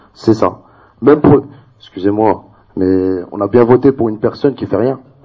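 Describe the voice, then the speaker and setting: This is a man with a normal speaking voice and a medium pitch. He keeps a moderate pace with ordinary pitch variation. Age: 20s. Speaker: debate participant. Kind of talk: public debate.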